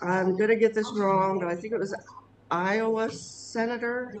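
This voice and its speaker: A woman speaks at a fairly slow pace with fairly even intonation, over noticeable background noise. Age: 60s. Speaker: local resident. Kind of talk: casual chat.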